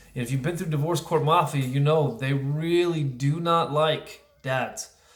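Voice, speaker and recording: There is audible echo from the room. Within it, a man talks at a moderate pace. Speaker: divorced father vlogger. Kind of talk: casual monologue vlog. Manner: loud.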